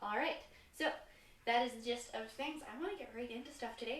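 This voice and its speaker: Audible room echo surrounds a woman's voice. Her tone is energetic, with ordinary pitch variation. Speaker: fitness instructor. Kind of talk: live-streamed fitness class instruction. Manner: energetic, sometimes fast.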